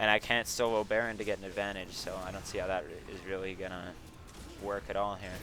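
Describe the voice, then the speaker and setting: Very fast, monotone, flat delivery from a man with a fairly low pitch, big swings in loudness, and music in the background. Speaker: gaming video creator. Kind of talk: gameplay commentary. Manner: halting, repeats words; casual, rambling.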